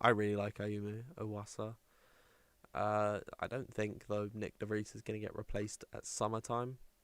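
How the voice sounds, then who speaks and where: Speaking with an English accent, a man holds a fairly low pitch, moderate pace and fairly even intonation. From England. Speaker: sim racing stream commentator. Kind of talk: live commentary. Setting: livestream. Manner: casual, chatty.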